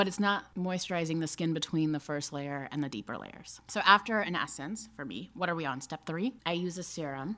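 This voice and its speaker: Using an American accent, a woman with a very deep, low pitch talks at a fairly quick pace with lively intonation. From Alabama and Kansas, US. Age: 30s. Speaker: cosmetics company co-founder, marketing executive. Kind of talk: casual chat.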